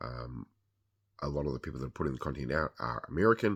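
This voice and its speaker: A man talks with vocal fry in a very deep, low pitch. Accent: New Zealand. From New Zealand. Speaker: podcast host. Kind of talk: product review monologue. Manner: casual with frequent fillers.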